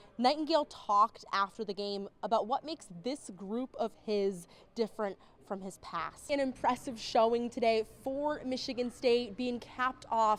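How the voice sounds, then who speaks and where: In a plain, everyday voice, a woman with a fairly high pitch talks at a fairly slow pace with lively intonation. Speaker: sports broadcaster. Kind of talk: sports highlights narration.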